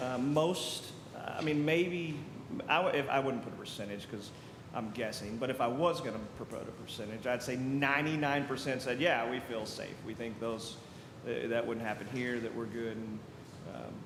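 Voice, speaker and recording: In an American accent, a man talks at a moderate pace with a medium pitch and ordinary pitch variation. Audible room echo and noticeable background noise surround him. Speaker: school district security officer. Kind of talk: committee meeting update. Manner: loud.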